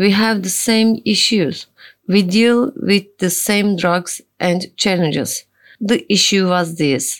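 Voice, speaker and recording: On a very clean recording with a silent background, a woman talks at a very slow pace and a medium pitch, with ordinary pitch variation. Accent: Turkish. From Turkey. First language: Turkish. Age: 40s. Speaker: social worker and addiction consultant in recovery. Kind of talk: testimony.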